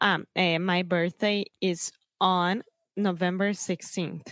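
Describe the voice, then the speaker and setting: Flat, monotone intonation comes through in a dry, close sound with no echo. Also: woman, very even loudness. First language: Portuguese. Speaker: co-host, English learner. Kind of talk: casual lesson. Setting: remote call.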